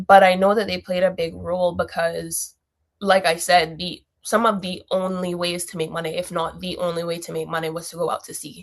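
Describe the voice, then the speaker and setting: Monotone and flat in intonation, a woman talks at a fairly quick pace with a fairly low pitch. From Cayman Islands (Grand Cayman). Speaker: heritage project founder, creative director. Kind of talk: podcast interview.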